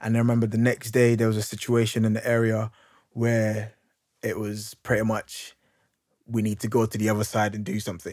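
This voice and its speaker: With a London accent, a man talks in a monotone, flat intonation at a moderate pace. Long, frequent pauses fall in a very clean recording with a silent background. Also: medium pitch for a man. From London, Hackney. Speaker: youth worker and speaker. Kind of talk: interview, personal story.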